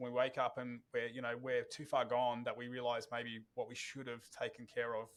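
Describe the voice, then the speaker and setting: Speaking with an Australian accent, a man keeps a medium pitch and a flat, monotone intonation at a moderate pace with hardly any pauses. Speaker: podcast host. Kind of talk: podcast interview.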